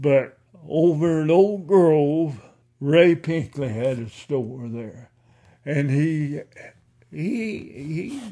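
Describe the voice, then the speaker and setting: A man with a strong Ozarks accent, a dark, mellow tone, lively intonation and a very slow pace. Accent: Ozarks rural Southern, strong. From Missouri Ozarks. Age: 80s+. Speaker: oral history interviewee, retired farmer. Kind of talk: oral history interview, reminiscing.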